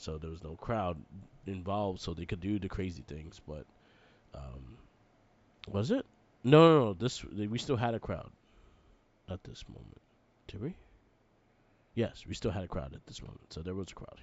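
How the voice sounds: A man's low-pitched voice with a slightly mellow tone and lively intonation, at a moderate pace with long, frequent pauses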